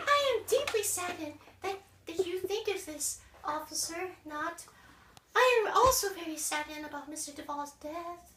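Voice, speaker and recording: In a put-on character voice, a woman speaks squeaky and extremely high, at a moderate pace with lively intonation and a slight echo. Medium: stage play. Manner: prim, overly polite.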